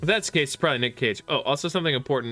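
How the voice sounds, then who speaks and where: Music plays in the background. The speaker's pitch varies in an ordinary way. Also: man. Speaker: streamer. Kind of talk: casual chat. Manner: loud.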